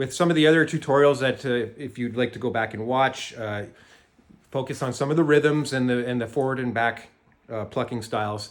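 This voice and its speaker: A man talks in a Canadian accent at a medium pitch. His pace is fairly quick and his intonation fairly even. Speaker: jaw harp maker and teacher. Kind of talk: tutorial. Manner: halting.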